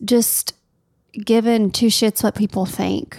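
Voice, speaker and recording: A woman talks with a Tennessee accent at a medium pitch. Her pitch varies in an ordinary way. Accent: Southern US (Tennessee). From US South, Tennessee. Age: 30s. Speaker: wedding planner, podcast co-host. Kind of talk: casual chat.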